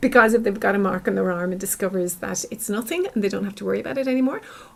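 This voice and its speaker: A somewhat breathy woman's voice at a medium pitch, with an Irish accent and ordinary pitch variation. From Ireland. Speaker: clinical psychologist. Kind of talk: interview.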